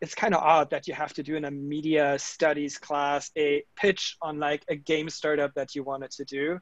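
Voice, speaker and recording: With a German accent, the speaker goes at a moderate pace with hardly any pauses and a flat, monotone delivery. The sound is dry and close with no echo, against a quiet background. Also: man, fairly high pitch for a man. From Germany. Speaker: tech startup founder. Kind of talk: interview conversation.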